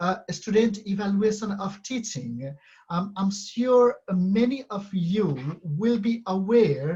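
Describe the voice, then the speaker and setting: Very slowly and with lively intonation, a man with a non-native accent speaks at a high pitch in a dark, mellow tone. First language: not English. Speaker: university lecturer. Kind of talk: conference presentation. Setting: web conference. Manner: halting, many fillers.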